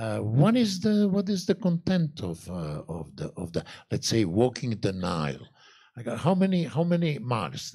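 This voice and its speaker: A man with a Croatian accent speaks at a moderate pace in a medium pitch with very wide pitch swings. His tone is dark and mellow, and somewhat breathy. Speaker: journalist, interviewer. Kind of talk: on-stage interview. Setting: stage with audience at a fortress.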